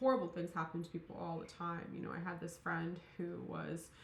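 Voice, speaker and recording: With audible room echo, a woman mumbles at a fairly low pitch. Her intonation is monotone and flat. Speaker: tarot reader. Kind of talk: tarot reading monologue. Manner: mumbling, many fillers; casual, rambling.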